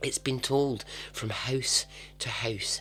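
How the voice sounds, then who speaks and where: Whispering unfolds at a very slow pace with music in the background. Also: man. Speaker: podcast host. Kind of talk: podcast true story narration. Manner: casual, humorous.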